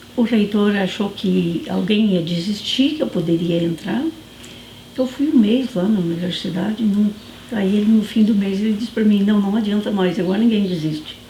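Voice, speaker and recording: Noticeable background noise and audible room echo surround a woman's voice. She talks at a moderate pace and a medium pitch, with ordinary pitch variation. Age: 60s. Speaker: former student resident, university student. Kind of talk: documentary interview.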